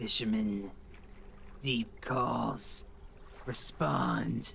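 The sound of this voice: Clear background noise sits behind a man doing a put-on character voice.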